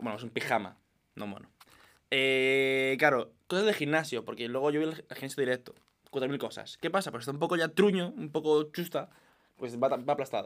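The pace is moderate. A male speaker delivers it with lively intonation. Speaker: podcast co-host. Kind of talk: casual chat. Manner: loud.

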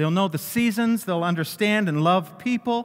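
Very wide pitch swings from a man. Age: 60s. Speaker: pastor. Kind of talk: sermon.

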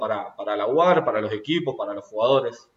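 A man talks with a Rioplatense accent. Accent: Argentine Rioplatense Spanish. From Argentina, Rosario. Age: 20s. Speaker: rugby player. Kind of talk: interview. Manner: hesitant, repeats words.

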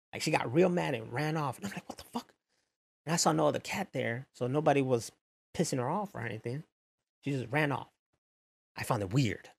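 A man talks with lively intonation and vocal fry, leaving long, frequent pauses. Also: fairly quick pace. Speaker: streamer. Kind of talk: casual chat. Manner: loud.

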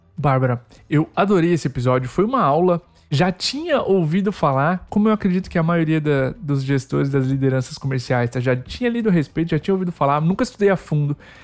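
A man with an unremarkable speaking voice talks at a fairly quick pace and fairly high pitch, with lively intonation and very even loudness. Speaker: podcast host. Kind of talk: interview.

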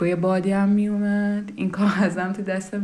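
A woman of medium pitch speaks at a moderate pace amid noticeable background noise and audible room echo. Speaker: podcast host. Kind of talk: personal monologue.

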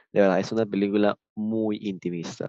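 A man's plain, everyday voice, fairly low in pitch, with ordinary pitch variation, a moderate pace and a quiet background. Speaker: film podcast host. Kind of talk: casual chat. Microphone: moved microphone after technical problems.

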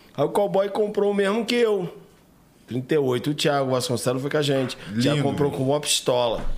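Over noticeable background noise, a man speaks at a moderate pace with very wide pitch swings but very even loudness. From Três Rios, Rio de Janeiro state, Brazil. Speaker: martial arts coach. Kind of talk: casual interview chat.

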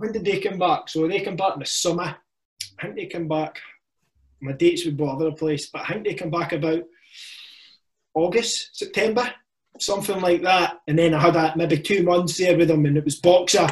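A man's high voice at a fairly quick pace, with ordinary pitch variation and long, frequent pauses. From Scotland, Ayrshire. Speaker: army veteran and firefighter. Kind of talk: casual chat. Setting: video call.

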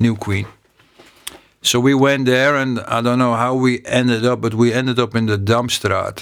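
A man's medium-pitched voice with a Dutch accent, monotone and flat in intonation, at a moderate pace. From Amsterdam, Netherlands. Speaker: eyewitness guest. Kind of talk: casual recollection, interview. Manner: halting, hesitant with fillers.

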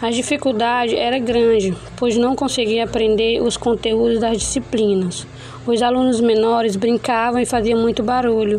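Noticeable background noise surrounds a woman speaking at a fairly high pitch and a moderate pace. Her intonation is monotone and flat, her loudness very even. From Brazil, Roraima (Caroebe). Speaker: university student. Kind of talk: class presentation. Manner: halting.

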